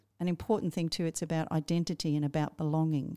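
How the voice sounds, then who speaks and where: Talking very fast, a woman with a fairly low pitch and a dark, mellow tone comes through in a dry, close sound with no echo. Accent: Australian. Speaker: teacher librarian and podcast co-host. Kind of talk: casual book discussion.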